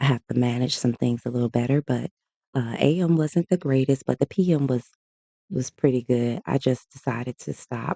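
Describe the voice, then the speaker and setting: A man with a Southern US accent, medium in pitch and dark, mellow in tone, at a moderate pace over a quiet background. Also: dry, close sound with no echo. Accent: Southern US, country. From US South. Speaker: day trader streamer. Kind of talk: live trading commentary. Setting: livestream. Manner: casual, conversational.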